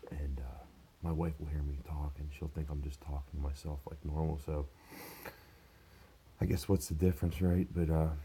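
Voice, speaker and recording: A man with a very deep, low pitch speaks at a moderate pace in a dark, mellow, somewhat breathy tone. His intonation stays monotone and flat, broken by long, frequent pauses. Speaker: vlogger, manual worker. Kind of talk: casual vlog. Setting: at home. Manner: quieter than usual.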